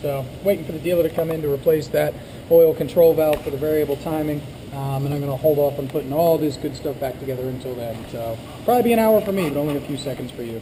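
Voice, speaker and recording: Over noticeable background noise, a man with a fairly high pitch and ordinary pitch variation speaks at a very fast pace. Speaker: auto mechanic. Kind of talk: tutorial. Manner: casual, filler-heavy.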